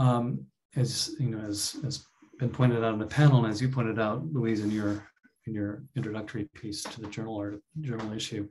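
A man speaks at a fairly quick pace with a medium pitch and ordinary pitch variation. He has an unremarkable speaking voice. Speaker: professor. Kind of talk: academic panel presentation. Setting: video call.

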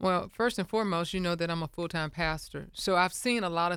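A woman talks with a Southern US accent. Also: very clean recording, silent background. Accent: Southern US (Georgia). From US South (Milledgeville, Georgia). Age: 50s. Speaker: mayoral candidate and pastor. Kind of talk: radio interview. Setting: studio.

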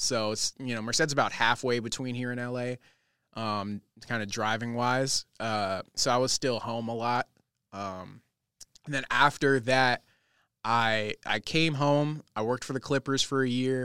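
At a moderate pace, a man with an American accent speaks in a normal speaking voice at medium pitch with fairly even intonation, the sound dry and close with no echo. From Los Angeles, US West Coast. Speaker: TV news reporter. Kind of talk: casual chat. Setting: library room, in person.

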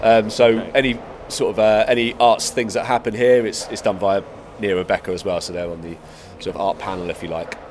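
Noticeable background noise sits under a man talking at a fairly quick pace, with big swings in loudness. His pitch is medium, with ordinary variation. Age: 40s. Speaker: skate park co-director. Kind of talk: casual interview chat.

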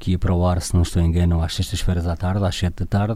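Very fast and monotone with flat intonation, a man speaks in a dark, mellow tone at a very deep, low pitch. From Portugal, Torres Novas. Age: 40s. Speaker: radio broadcaster. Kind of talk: monologue. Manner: halting.

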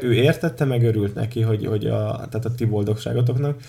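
With music in the background, a man talks at a very fast pace, at medium pitch with fairly even intonation. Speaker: podcast host. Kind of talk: casual chat.

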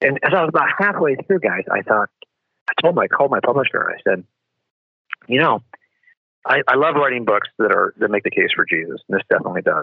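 Someone speaks at a very fast pace with an American accent, broken up by long, frequent pauses. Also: man. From United States. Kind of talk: interview.

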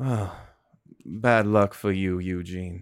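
A man's shaky, put-on character voice, very deep and low in pitch. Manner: slightly shaky, feigning composure.

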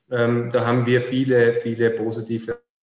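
Here a man speaks at a medium pitch and a moderate pace. His intonation is monotone and flat. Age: 30s. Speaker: city councillor and politician. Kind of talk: interview.

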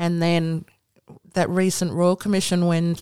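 The woman's tone is dark and mellow, at a moderate pace. The sound is dry and close with no echo. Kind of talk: casual chat. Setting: school.

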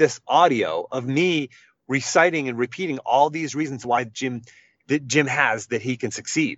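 A man speaks with an American accent in an unremarkable speaking voice. His pitch is fairly high, with ordinary pitch variation. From Western Pennsylvania, Pittsburgh area. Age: 40s. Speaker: coach and speaker, former college wrestler. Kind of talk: interview.

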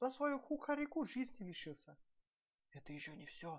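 Putting on a whiny character voice, a man speaks at a moderate pace and an extremely high pitch with big pitch swings.

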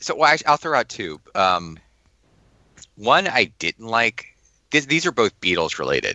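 The voice has vocal fry and very wide pitch swings. Long, frequent pauses break up the speech. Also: man, medium pitch for a man. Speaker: podcast co-host. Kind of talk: casual chat.

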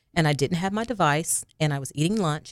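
A woman with a very deep, low pitch speaks very fast in an American accent. Her pitch varies in an ordinary way on a very clean recording with a silent background. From Arkansas, near Jonesboro. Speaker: counselor. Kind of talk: interview. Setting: studio.

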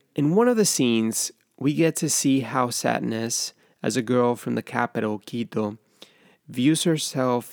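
On a very clean recording with a silent background and a dry, close sound with no echo, a man of medium pitch speaks at a moderate pace with ordinary pitch variation. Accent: Spanish. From Ecuador, Guayaquil. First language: Spanish. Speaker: film podcaster. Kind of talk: scripted narration.

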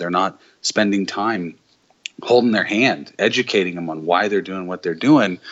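The pace is moderate. An unremarkable speaking voice shows ordinary pitch variation. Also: man. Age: 40s. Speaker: digital agency owner. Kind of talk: casual chat.

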